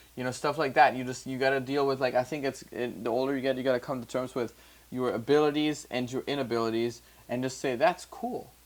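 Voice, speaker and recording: The man's voice sits at a medium pitch with fairly even intonation. He speaks at a very fast pace. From Germany. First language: German. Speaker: music producer and podcast host. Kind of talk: casual chat. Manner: halting.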